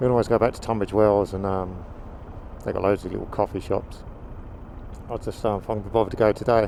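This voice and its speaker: Speaking very fast with a southern English accent, a man uses a fairly low pitch and a monotone, flat intonation, with big swings in loudness and long, frequent pauses. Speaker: motovlogger. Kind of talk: casual vlog monologue while riding. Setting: riding a motorbike outdoors, helmet mic. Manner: halting, many fillers.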